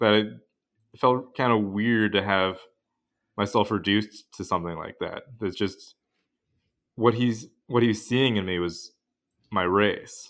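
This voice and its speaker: Recorded very cleanly with a silent background, a man with an American accent and a fairly low pitch speaks with fairly even intonation and long, frequent pauses. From US Pacific Northwest, Western Washington. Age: 20s. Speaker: law student. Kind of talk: interview.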